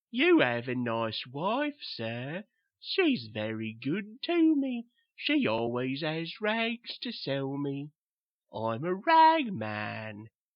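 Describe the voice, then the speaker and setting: A put-on character voice at a very slow pace. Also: man, fairly high pitch for a man. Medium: read story. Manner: slow, simple, repetitive.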